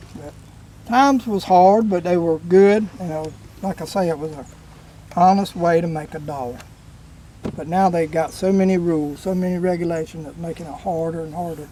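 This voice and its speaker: Speaking in a Southern US accent, a man has a high pitch and ordinary pitch variation. His pace is moderate, broken by long, frequent pauses. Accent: rural US South. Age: 60s. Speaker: commercial catfisherman. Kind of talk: casual storytelling interview. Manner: animated.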